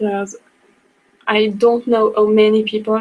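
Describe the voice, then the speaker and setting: Monotone, flat intonation marks this woman's fairly high voice as she speaks slowly-ish, at a fairly slow pace, in a French accent. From France. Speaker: book blogger. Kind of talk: online class presentation. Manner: halting.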